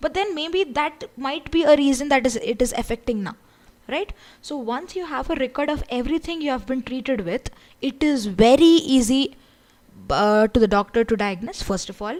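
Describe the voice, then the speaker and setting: With lively intonation, a woman speaks at a high pitch. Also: moderate pace. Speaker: online course instructor. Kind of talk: lecture. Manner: loud. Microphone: audibility problems.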